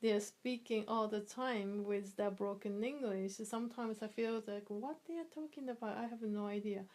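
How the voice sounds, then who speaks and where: With a Japanese accent, a woman speaks at a moderate pace in a fairly high voice, using ordinary pitch variation and hardly any pauses. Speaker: interviewee, immigrant mother. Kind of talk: interview. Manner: halting, with many fillers.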